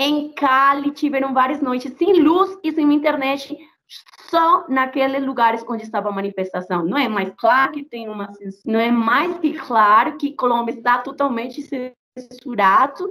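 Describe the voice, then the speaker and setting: A woman speaks in a raised, projected voice with a Spanish accent, her pitch high. She talks at a fairly slow pace with lively intonation. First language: Spanish (speaking Portuguese). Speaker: activist. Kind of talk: interview. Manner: halting; animated.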